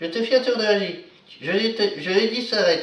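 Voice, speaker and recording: A put-on character voice, fairly high in pitch, comes at a fairly quick pace with slight echo. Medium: solo performance.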